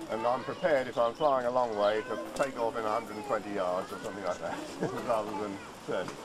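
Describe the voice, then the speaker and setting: Talking very fast, a man is heard over noticeable background noise. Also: ordinary pitch variation. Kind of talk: informal explanation to crowd. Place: open country. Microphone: old recording.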